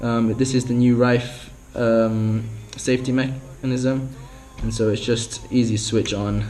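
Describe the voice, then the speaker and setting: A man talks in a monotone, flat intonation. Noticeable background noise runs behind him. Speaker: spearfisher. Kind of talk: product review talk to camera.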